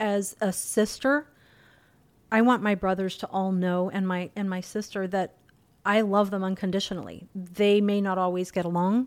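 Her intonation stays fairly even as the woman speaks at a moderate pace. She has an unremarkable speaking voice. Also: very clean recording, silent background. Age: 50s. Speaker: host's mother. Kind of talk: casual chat.

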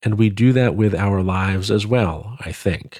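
Dry and close with no echo, this is a man's normal speaking voice, fairly low in pitch. He moves at a moderate pace with ordinary pitch variation. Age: 40s. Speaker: podcast host. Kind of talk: reflective monologue.

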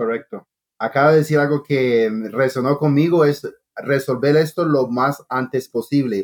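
Here a man speaks with a medium pitch. His pitch varies in an ordinary way. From Costa Rica until age 8, then US (Long Island). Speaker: chef. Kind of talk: interview. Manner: halting.

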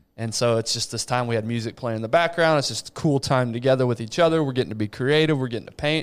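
A man talks at a very fast pace with an American accent. He leaves hardly any pauses. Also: medium pitch for a man, ordinary pitch variation, very clean recording, silent background. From West Texas. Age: 30s. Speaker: podcast host. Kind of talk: casual chat.

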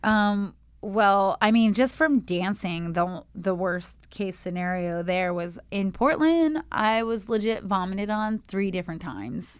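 A woman's unremarkable speaking voice at medium pitch, with lively intonation and a fairly slow pace, in a very clean recording with a silent background. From moved around, born in Vancouver, Washington. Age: 40s. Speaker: exotic dancer and model. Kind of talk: casual chat.

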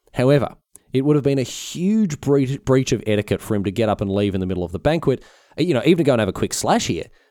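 With an Australian accent, a man talks at a very fast pace in a medium pitch, his dark, mellow tone marked by very wide pitch swings. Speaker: history podcast host. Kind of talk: casual solo history narration. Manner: halting, frequent fillers; hurried.

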